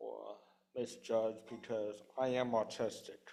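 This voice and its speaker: A man at a medium pitch with monotone, flat intonation. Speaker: congregant sharing. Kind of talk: testimony. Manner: halting.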